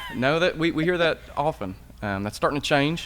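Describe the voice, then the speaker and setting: A man with an East Tennessee accent talks at a fairly quick pace. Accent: local East Tennessee. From East Tennessee, Smoky Mountains. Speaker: podcast co-host. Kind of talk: casual conversation. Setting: historic theater building.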